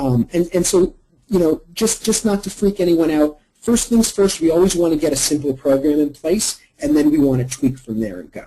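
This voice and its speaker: With lively intonation, a man speaks at a fairly high pitch in a dark, mellow tone. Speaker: marketing consultant. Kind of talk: webinar presentation. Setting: online webinar. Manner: fast.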